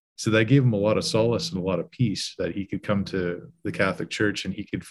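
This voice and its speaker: This man talks very fast in a fairly low, somewhat breathy voice. His pitch varies in an ordinary way. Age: 40s. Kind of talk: casual chat.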